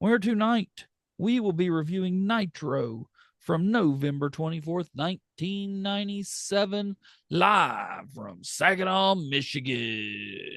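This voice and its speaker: A man does a put-on character voice, high-pitched, hoarse and raspy, with lively intonation. The background is quiet. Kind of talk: showy, ring-announcer delivery.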